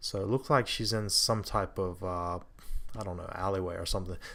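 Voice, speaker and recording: Soft-spoken and fairly low in pitch, a man talks at a fairly quick pace with fairly even intonation on a very clean recording with a silent background. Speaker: amateur photographer. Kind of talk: tutorial. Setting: home, others asleep. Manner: hesitant, many fillers.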